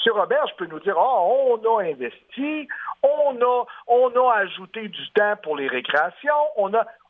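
A man with an extremely high pitch speaks at a fairly slow pace. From Quebec City area. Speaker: union leader. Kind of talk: radio interview. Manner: halting.

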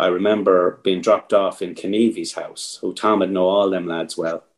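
A man with an Irish accent speaks at a moderate pace. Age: 50s. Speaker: competitive fly angler, team captain. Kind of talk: casual interview chat.

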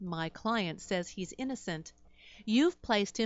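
Intonation rises and falls in a lively way. The delivery is an unforced reading voice.

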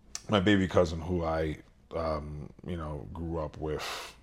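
With a New York accent, a man speaks in a very deep, low pitch and a monotone, flat intonation. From Brooklyn, New York, Dominican family. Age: 30s. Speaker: bodybuilder. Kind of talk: casual interview chat.

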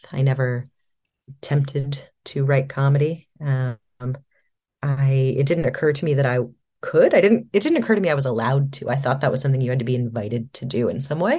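At a fairly quick pace, a woman speaks in a very deep, low pitch with ordinary variation, her tone dark and mellow and somewhat breathy. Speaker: writer and comedian guest. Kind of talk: casual interview chat. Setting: video call.

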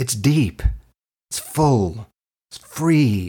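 Man with a Canadian accent and very wide pitch swings. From Canada (Toronto). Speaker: acting teacher. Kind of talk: online class lecture. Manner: animated.

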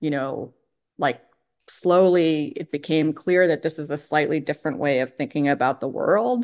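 With an American accent, a woman speaks in a very deep, low pitch at a moderate pace with ordinary pitch variation. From Pennsylvania. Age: 50s. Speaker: economics professor. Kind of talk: interview. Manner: halting.

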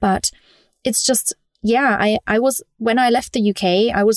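Fairly even intonation comes through with a British accent in a dry, close recording with no echo, very clean and over a silent background. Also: woman. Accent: British-tinged English. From Germany. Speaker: digital nomad community founder. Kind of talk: podcast interview.

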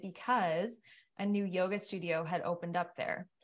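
An unremarkable speaking voice with a Canadian accent moves at a moderate pace against a quiet background. The intonation is fairly even. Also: woman. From Ottawa, Canada. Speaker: yoga teacher. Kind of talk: casual chat.

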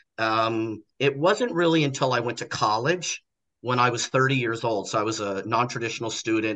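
In an American accent, a man talks at a moderate pace with a medium pitch and ordinary pitch variation. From United States. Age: 50s. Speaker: social worker. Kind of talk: casual chat. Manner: halting.

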